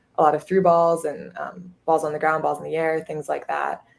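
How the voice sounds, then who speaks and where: A woman with a slight Minnesota accent speaks at a fairly quick pace, her pitch very deep and low. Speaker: college soccer goalkeeper. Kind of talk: interview.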